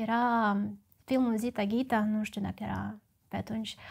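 A woman's fairly slow-paced voice over a quiet background. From Moldova, Chișinău; Moldova. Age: 20s. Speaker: actress. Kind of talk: personal monologue. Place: studio. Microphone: lapel.

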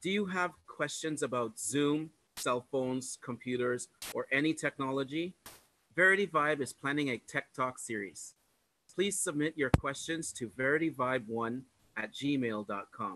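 Heard over noticeable background noise, a man with a bright, sharp tone speaks at a fairly slow pace with ordinary pitch variation in a dry sound with no echo. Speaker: church greeter. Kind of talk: announcements. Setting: church. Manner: formal. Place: home room. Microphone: video call.

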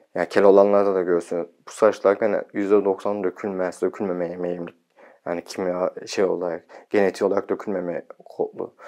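Against a quiet background, a man with a fairly low pitch talks at a fairly quick pace in a monotone, flat intonation. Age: 30s. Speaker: video blogger. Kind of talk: casual vlog talk. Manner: sometimes fast. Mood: calm, content. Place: home room. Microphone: lapel.

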